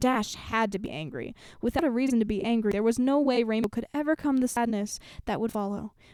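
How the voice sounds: The natural reading voice carries ordinary pitch variation.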